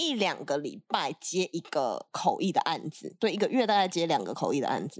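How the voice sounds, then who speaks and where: A woman talks at a moderate pace and a medium pitch, with very wide pitch swings. The recording is very clean, with a silent background. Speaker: Korean interpreter. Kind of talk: casual interview chat.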